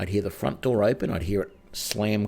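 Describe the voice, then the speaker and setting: Speaking at a moderate pace, a man with an Australian accent has a dark, mellow tone. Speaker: game streamer. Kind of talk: casual chat. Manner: loud when excited.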